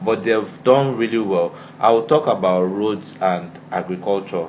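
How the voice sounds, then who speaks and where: Intonation is lively as a man speaks at a fairly low pitch. There is noticeable background noise. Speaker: podcast guest. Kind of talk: casual chat.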